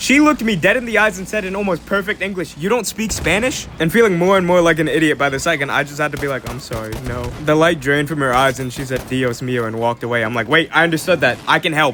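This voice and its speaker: Over music in the background, a man talks at a very fast pace with hardly any pauses, his fairly high voice full of lively intonation. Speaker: online video creator. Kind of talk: storytime monologue. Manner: casual, conversational.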